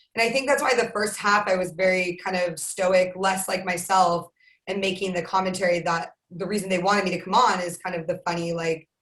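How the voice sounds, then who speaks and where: Hardly pausing, a woman with an American accent talks at a fairly quick pace, her medium pitch carried by fairly even intonation. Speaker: sports broadcaster. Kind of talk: casual interview.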